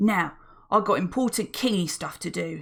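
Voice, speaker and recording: On a very clean recording with a silent background, a woman does a put-on character voice at medium pitch and a moderate pace, gruff, bellowing and growling. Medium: read story. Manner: gruff, ungrammatical, bossy.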